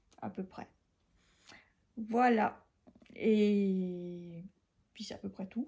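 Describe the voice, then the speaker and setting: A woman speaks very slowly, with long and frequent pauses, her loudness swinging widely. Her medium-pitched voice is dark, mellow and somewhat breathy, with fairly even intonation. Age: 40s. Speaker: podcast host, knitter. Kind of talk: casual chat. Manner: hesitant, many fillers.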